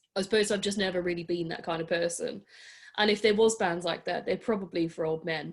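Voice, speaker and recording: This woman speaks with an Australian accent at a fairly quick pace. Her pitch is medium and her intonation fairly even. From Adelaide, South Australia. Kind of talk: interview answer.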